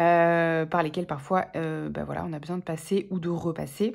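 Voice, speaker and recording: The voice belongs to a woman. It is somewhat breathy. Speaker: tarot reader. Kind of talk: tarot reading monologue. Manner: hesitant, many fillers.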